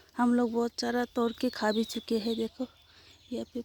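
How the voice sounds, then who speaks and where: The sound is dry and close, with no echo. Noticeable background noise runs underneath. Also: woman. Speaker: vlogger. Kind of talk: casual vlog garden tour. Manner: halting.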